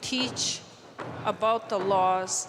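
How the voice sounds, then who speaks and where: A woman speaks very slowly with fairly even intonation, with audible room echo and noticeable background noise. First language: Cree. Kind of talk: public speech.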